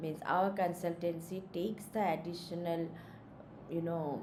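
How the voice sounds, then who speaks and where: A woman speaks at a fairly low pitch. The room echo is audible. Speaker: education consultant. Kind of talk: live stream talk. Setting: live stream. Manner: slow.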